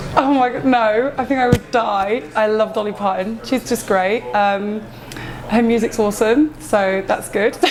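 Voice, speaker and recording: The intonation is fairly even. Behind the voice, music is playing. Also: woman, fairly high pitch for a woman. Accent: Essex. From England, Essex (Romford, Hornchurch). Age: 30s. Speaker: tattoo artist. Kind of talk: interview. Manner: hesitant, many fillers.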